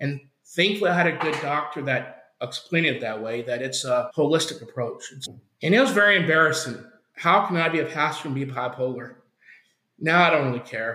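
Speaking in a normal speaking voice with an American accent, a man moves at a fairly quick pace. His pitch is fairly high, with ordinary variation. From Oklahoma. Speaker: campus missionary, former pastor. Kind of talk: interview testimony.

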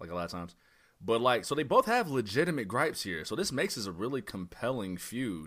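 In a very clean recording with a silent background, a man speaks in an animated tone at a moderate pace. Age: 30s. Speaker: wrestling podcast host. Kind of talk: casual chat.

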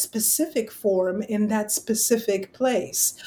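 A dark, mellow tone at a very slow pace, with ordinary pitch variation. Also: woman. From France. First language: French. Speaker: literature professor. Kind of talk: academic interview.

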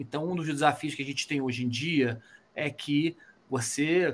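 A man talks in a plain, everyday voice. His pitch is fairly high and his pace moderate. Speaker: bass player in rock band. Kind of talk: casual interview.

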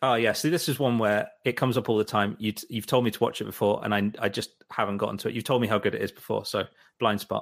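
With a London accent, a man rattles along at a very fast pace, his medium pitch held in a fairly even intonation. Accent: British English, London. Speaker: podcast host. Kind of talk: casual chat. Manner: halting.

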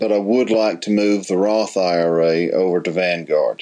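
At a moderate pace, a man talks in a fairly low pitch with ordinary pitch variation and an unremarkable speaking voice. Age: 50s. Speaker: retiree caller. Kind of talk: recorded voicemail question.

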